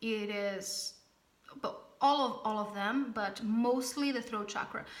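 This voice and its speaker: At a fairly slow pace, a woman speaks with fairly high pitch and fairly even intonation. Room echo is audible. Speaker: spiritual channeler teaching a class. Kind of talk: online class. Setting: alone at home recording a video. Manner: halting.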